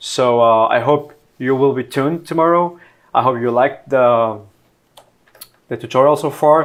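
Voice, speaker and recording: A man speaks with a Mexican accent at a fairly slow pace. His pitch variation is ordinary, and the recording is very clean with a silent background. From Mexico, Monterrey. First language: Spanish. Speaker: software engineer teaching programming. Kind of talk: live-streamed coding tutorial. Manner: halting, many fillers and repetitions; casual.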